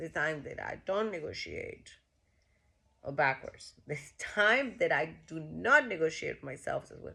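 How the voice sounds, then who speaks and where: A woman with a Costa Rican accent, animated in tone, at a fairly slow pace, with long, frequent pauses and big swings in loudness. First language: Spanish. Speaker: vlogger. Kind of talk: casual monologue. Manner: halting.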